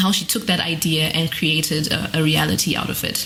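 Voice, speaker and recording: Noticeable background noise surrounds this woman's voice. She speaks fairly low, with fairly even intonation. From Zimbabwe. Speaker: guest podcast host, PhD student. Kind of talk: podcast hosting. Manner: scripted intro.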